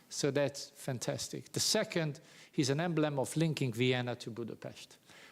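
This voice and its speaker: A man talks at a fairly quick pace with an Hungarian accent. His pitch varies in an ordinary way. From Hungary, Pécs (South Hungary). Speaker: professor. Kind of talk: lecture. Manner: halting, many fillers.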